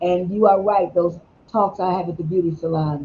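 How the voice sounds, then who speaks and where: Her voice is somewhat breathy and fairly low, moving at a moderate pace in a monotone, flat intonation. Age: 60s. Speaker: talk show host and counselor. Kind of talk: casual discussion.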